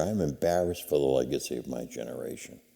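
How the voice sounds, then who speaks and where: A man's very deep, low voice with an American accent, dark, mellow tone, vocal fry and ordinary pitch variation. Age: 70s. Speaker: nonprofit founder. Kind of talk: interview. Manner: halting, with many fillers.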